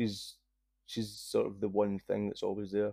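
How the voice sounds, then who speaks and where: The speaker is a man with a dark, mellow tone. He moves along at a fairly quick pace. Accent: strong Scottish. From Scotland. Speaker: triathlete and cancer survivor. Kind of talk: casual interview. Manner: nervous, enunciating carefully.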